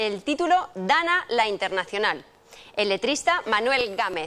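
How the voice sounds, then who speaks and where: A woman speaks at a fairly slow pace in a raised, projected voice. Her pitch moves in very wide swings. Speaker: TV show hostess. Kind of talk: show announcement. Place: studio. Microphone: old recording.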